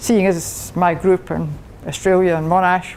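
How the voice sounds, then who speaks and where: This woman has a strong Scottish accent. Her intonation stays monotone and flat. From Scotland. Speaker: engineering professor. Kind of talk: lecture. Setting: club meeting with audience.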